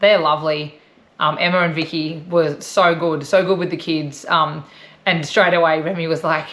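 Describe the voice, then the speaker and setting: Her voice sits fairly low for a woman. She speaks at a moderate pace with monotone, flat intonation. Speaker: travel vlogger. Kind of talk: casual chat.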